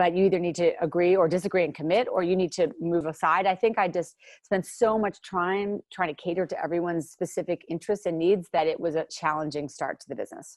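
A woman speaks very fast with hardly any pauses. Her voice is fairly low and fairly even in intonation, over a quiet background. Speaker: company founder. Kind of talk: casual interview. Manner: fast talker.

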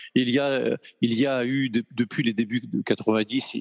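The man's voice is recorded dry and close, with no echo. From France. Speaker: luxury goods executive. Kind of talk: casual interview. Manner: hesitant, many fillers.

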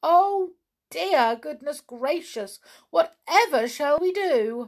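A woman speaks slowly in a high-pitched put-on character voice with lively intonation.

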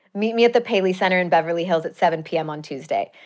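A normal speaking voice at a fairly quick pace. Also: woman. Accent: American. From US Midwest, Chicago suburbs. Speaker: journalist and TV/podcast host. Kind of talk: casual interview chat. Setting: studio.

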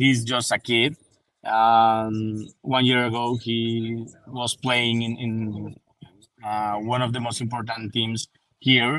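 A man with a Spanish accent speaks at a medium pitch and a very slow pace, his intonation flat and monotone. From Colombia. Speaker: football journalist. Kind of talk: casual chat. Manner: halting.

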